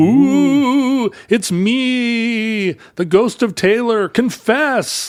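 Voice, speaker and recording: A man in a put-on character voice speaks very slowly at an extremely high pitch. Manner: playful, theatrical.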